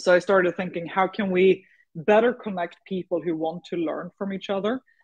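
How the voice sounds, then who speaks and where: With a Swedish accent, a woman speaks at a moderate pace with fairly even intonation. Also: medium pitch for a woman. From Sweden. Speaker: startup founder and CEO. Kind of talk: interview. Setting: radio show.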